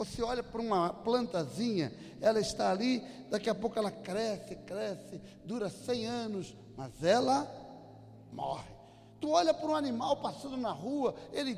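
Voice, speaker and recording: A man with a high pitch and very wide pitch swings keeps a moderate pace. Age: 60s. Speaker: pastor. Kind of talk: sermon.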